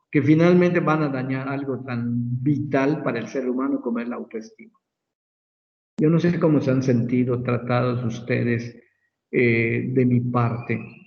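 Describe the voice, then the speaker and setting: A man talks at a fairly slow pace with a medium pitch and fairly even intonation. There is audible room echo. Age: 60s. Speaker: medical professor. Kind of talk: lecture.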